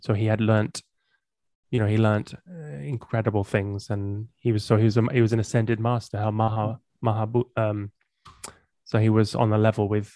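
In an English accent, a man speaks at a moderate pace with a fairly low, dark, mellow voice and fairly even intonation, leaving long, frequent pauses. The sound is dry and close with no echo, against a quiet background. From England. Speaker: musician and podcaster. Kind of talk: casual interview chat.

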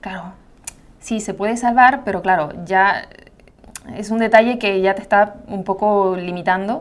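Speaking at a fairly slow pace with long, frequent pauses, a woman of medium pitch keeps her intonation fairly even while her loudness swings widely. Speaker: makeup artist and content creator. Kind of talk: casual interview chat.

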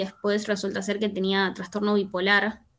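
A woman's voice at medium pitch and a fairly quick pace. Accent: Rioplatense. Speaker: podcast guest. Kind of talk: casual chat. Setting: video call.

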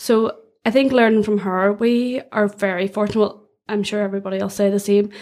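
Delivered at a fairly quick pace in a Donegal accent, the speech has monotone, flat intonation. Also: woman, medium pitch for a woman. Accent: Donegal Irish. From Ireland, County Donegal. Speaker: graduate recruitment manager. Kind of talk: casual interview.

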